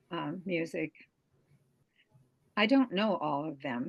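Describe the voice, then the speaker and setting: A woman speaks in a fairly low voice with vocal fry. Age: 80s+. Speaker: Montessori educator, school founder. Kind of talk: podcast interview answer.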